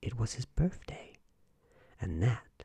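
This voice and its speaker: Whispering at a fairly slow pace, a man speaks in a gentle, soothing tone. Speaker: ASMR storyteller. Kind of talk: bedtime story reading aloud, hushed ASMR narration of a fairytale. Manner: slow, soft-spoken, soothing and calm; gentle, even, unhurried, lulling pace.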